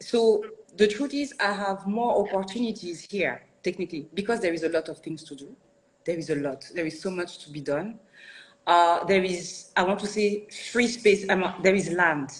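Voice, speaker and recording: Speaking with a French accent, a woman holds a medium pitch with ordinary variation while her loudness swings widely. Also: moderate pace. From France, Paris suburbs. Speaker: architect and studio founder. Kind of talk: interview. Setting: live online video interview. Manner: halting, many restarts.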